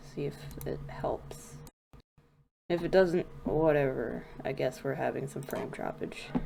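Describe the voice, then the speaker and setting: A woman's voice at a very slow pace. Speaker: gaming streamer. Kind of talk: casual livestream commentary. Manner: rambling, self-correcting.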